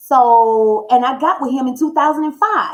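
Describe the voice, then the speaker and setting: A woman's high-pitched voice with an animated tone. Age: 30s. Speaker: tarot reader. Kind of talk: tarot reading with personal story. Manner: blunt.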